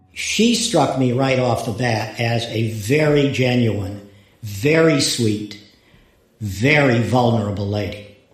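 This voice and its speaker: A man's medium-pitched voice at a very slow pace, with ordinary pitch variation, audible room echo and noticeable background noise. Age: 70s. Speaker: retired lawyer. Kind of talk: interview testimony. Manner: halting, with repetitions.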